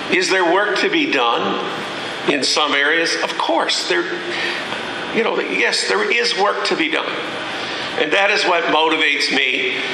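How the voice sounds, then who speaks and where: A man at a very slow pace, with noticeable background noise and audible room echo. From Newfoundland, Canada. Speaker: politician. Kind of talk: public speech. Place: hall. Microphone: podium.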